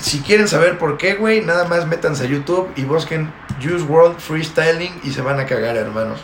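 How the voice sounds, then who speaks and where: A man with a Mexican accent, with audible room echo and noticeable background noise. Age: 20s. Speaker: podcast host. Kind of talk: casual chat.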